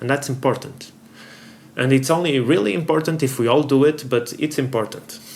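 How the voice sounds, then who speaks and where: Amid noticeable background noise, a man with a non-native accent speaks at a moderate pace. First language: not English. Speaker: board game youtuber. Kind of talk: opinion commentary. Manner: halting.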